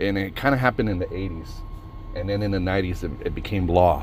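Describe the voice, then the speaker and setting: A man speaks at a fairly quick pace in an animated tone. Noticeable background noise runs under him. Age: 30s. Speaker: podcast host. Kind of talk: casual storytelling monologue.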